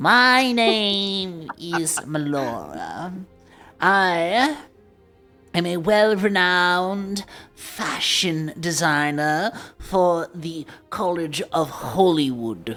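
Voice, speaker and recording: A put-on character voice speaks at a middle pitch and a very slow pace. Faint music plays in the background. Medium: actual play. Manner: polite, refined, theatrical.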